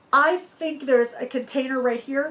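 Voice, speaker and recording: A woman's voice, high in pitch. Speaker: RV vlogger. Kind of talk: casual vlog Q&A storytelling. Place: home room.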